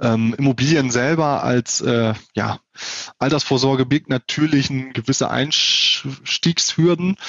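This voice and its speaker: The pitch variation is ordinary. The speaker is a man. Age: 30s. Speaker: wealth advisor. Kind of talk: interview. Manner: hesitant with filler sounds.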